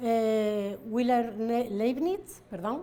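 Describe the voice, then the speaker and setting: A woman with a high pitch and ordinary pitch variation is heard amid audible room echo. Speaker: academic conference speaker. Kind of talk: conference presentation. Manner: many fillers and hesitations.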